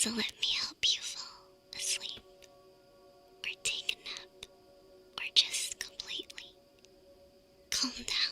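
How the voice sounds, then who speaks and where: A whisper at a very slow pace, broken by long, frequent pauses, with music in the background. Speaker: VTuber ASMR streamer. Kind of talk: ASMR sleep talk. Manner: whispered, soft.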